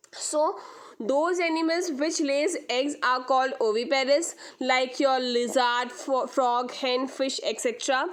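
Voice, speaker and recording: A woman's high voice at a fairly slow pace, with very even loudness, ordinary pitch variation and audible room echo. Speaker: school science teacher. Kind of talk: lecture. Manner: repetitive, halting.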